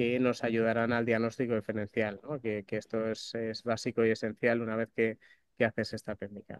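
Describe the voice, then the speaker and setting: At a moderate pace, a man speaks. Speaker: doctor, course coordinator. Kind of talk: opening address. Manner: halting, many fillers.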